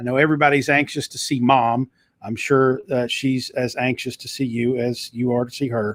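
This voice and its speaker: The speaker has a Southern US accent, recorded with a dry, close sound and no echo. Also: man. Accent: Southern US twang. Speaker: talk show host and author. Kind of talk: live talk show. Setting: live video stream. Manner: animated.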